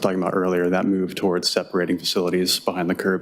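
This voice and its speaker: A man mumbles at a very fast pace. His pitch is very deep and low. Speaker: transportation planner. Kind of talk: conference presentation. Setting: workshop with audience. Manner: mumbling; hesitant, many fillers.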